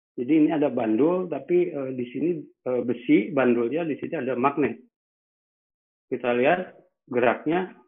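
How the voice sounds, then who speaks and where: A man speaks at a moderate pace with ordinary pitch variation, leaving long, frequent pauses. The background is quiet. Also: fairly high pitch for a man. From Indonesia. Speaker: meteorology lecturer. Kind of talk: webinar lecture. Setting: video call. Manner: halting, many fillers. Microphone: webcam.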